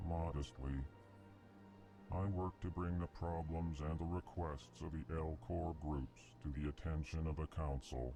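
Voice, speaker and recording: A man performs in a put-on character voice. Background noise is clearly heard. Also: moderate pace. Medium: video game. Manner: announces emotion before speaking, flat monotone.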